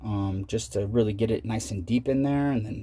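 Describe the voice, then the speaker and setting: A man talks at a moderate pace with a fairly low pitch and vocal fry. His tone is dark and mellow. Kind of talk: casual tutorial vlog. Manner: animated.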